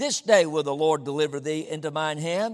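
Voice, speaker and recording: The speaker sounds animated, with ordinary pitch variation, on a very clean recording with a silent background. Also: man. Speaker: preacher. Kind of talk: sermon. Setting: church. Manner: animated, emphatic, rallying the congregation with 'listen' and 'say amen'; conversational, preacherly, with frequent 'uh' fillers.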